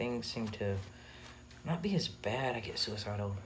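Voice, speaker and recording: Over noticeable background noise and audible room echo, a man with a fairly low pitch speaks at a very slow pace. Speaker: vlogger. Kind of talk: personal vlog. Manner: halting, many fillers.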